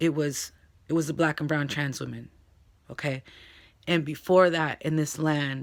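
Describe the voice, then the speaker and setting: Speaking at a moderate pace, a woman with a very deep, low voice keeps a monotone, flat intonation and leaves long, frequent pauses. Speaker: vlogger. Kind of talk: casual vlog. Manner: casual, hesitant with fillers.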